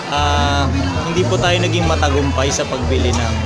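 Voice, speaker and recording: Loud music plays behind a man who speaks at a fairly slow pace with ordinary pitch variation. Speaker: vlogger. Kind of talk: casual vlog chat. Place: shop. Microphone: phone near.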